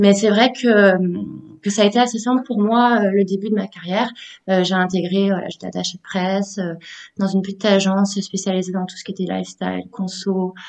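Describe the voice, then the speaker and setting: At a moderate pace, a woman speaks at a medium pitch in a monotone, flat intonation with big swings in loudness. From southeastern France, Menton area. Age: 20s. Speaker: communications freelancer. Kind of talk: casual interview.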